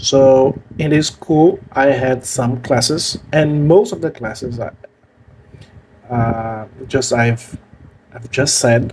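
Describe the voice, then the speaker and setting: Spoken with a strong Brazilian accent, the speech is very slow, with long, frequent pauses, big swings in loudness and ordinary pitch variation. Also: man, medium pitch for a man. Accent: thick Brazilian Portuguese. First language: Portuguese. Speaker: language learning youtuber. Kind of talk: personal story vlog. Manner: halting with fillers.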